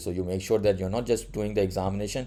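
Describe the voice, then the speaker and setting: Speaking at a very fast pace, a man has a very deep, low pitch and a dark, mellow tone. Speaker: compliance trainer. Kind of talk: tutorial. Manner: many fillers and hesitations.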